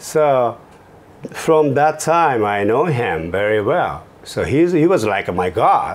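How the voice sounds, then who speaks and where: A man speaks at a very slow pace in a medium pitch, with very wide pitch swings. Noticeable background noise is present. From Japan, Kobe area. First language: Japanese. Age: 50s. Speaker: fashion entrepreneur. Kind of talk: interview. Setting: office studio.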